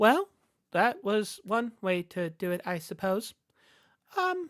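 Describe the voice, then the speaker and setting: In a put-on character voice, a female-sounding voice at a medium pitch speaks at a fairly slow pace. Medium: actual play.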